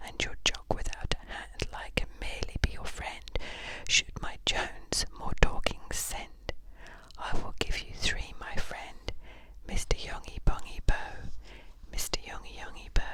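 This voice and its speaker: Someone whispers at a fairly slow pace with long, frequent pauses. Noticeable background noise runs underneath. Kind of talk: poetry reading. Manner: whispered.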